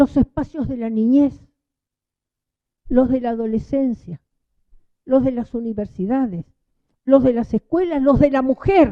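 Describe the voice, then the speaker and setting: This woman has a high-pitched voice. She speaks at a fairly slow pace. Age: 80s+. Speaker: union leader and speaker. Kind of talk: public talk. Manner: animated.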